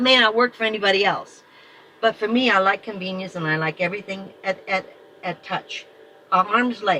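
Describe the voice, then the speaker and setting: Long, frequent pauses and ordinary pitch variation over noticeable background noise. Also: woman. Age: 70s. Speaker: van dweller. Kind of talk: casual chat.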